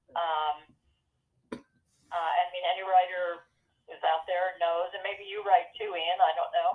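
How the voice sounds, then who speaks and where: In an American accent, the speaker talks at a fairly slow pace with flat, monotone intonation and long, frequent pauses. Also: woman, medium pitch for a woman, big swings in loudness. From New York. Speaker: actress and poet. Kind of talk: casual interview. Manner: hesitant with many fillers.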